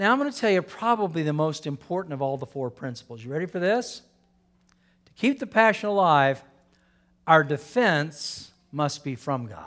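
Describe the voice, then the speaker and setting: Very wide swings mark the fairly high pitch of this man's voice. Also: moderate pace. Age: 60s. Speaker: pastor. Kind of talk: sermon. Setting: church with congregation. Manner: animated.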